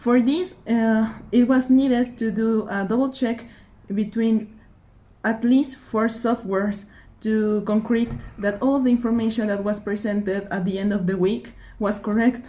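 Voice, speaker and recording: A woman speaks at a fairly slow pace with a fairly high pitch and fairly even intonation. Her tone is dark and mellow, and somewhat breathy. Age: 20s. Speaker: engineering student and intern. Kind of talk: application video self-introduction. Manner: halting, with fillers.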